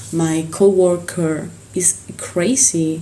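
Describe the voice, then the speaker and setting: In an Argentine accent, a woman speaks at a fairly low pitch with monotone, flat intonation. Noticeable background noise and audible room echo fill the recording. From Argentina, Buenos Aires. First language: Spanish. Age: 20s. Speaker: singer. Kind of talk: casual interview. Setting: hotel room. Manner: halting; passionate.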